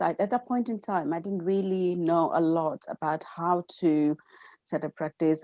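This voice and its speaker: On a very clean recording with a silent background, a woman speaks in a dark, mellow tone at a fairly low pitch. Her pitch varies in an ordinary way, and the sound is dry and close with no echo. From India, Gujarat. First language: Gujarati. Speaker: counselor. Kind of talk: interview. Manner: halting, many fillers.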